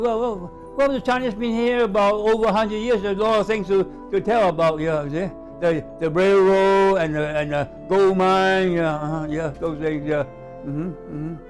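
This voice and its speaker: With music in the background, the speech moves at a moderate pace. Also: man, high pitch for a man, ordinary pitch variation. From Hawaii and Hong Kong. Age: 80s+. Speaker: former newspaper editor. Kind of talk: interview answer. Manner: hesitant, repetitive.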